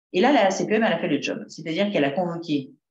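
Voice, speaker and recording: Very wide pitch swings from a woman talking at a fairly quick pace. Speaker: psychotherapist speaking on school bullying. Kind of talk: talk to parents. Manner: fast.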